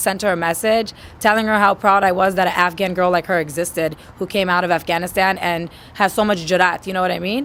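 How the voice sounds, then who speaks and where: A woman with a New York accent, medium-pitched and animated, at a fairly quick pace. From New York, Queens. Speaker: musician. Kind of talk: interview.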